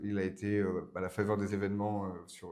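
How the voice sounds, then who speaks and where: A man's voice, fairly low in pitch. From France, Burgundy. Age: 20s. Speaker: political speechwriter. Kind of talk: podcast interview. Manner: hesitant, many fillers.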